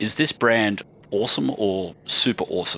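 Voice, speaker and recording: With an Australian accent, a man talks at a fairly low pitch. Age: 40s. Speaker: gaming streamer. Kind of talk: live gameplay stream chat. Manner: casual, rambling with false starts.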